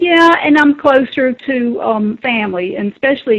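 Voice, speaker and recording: With a Southern US accent, a woman talks at a moderate pace using lively intonation. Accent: Southern US accent, came back after training. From South Carolina. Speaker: former caregiver. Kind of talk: interview.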